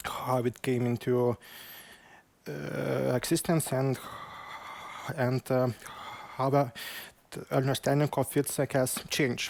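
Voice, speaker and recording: With a Lithuanian accent, a man speaks at a very slow pace with long, frequent pauses, medium pitch, fairly even intonation and very even loudness, the sound dry and close with no echo. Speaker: PhD candidate. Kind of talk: conference presentation. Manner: halting, many fillers.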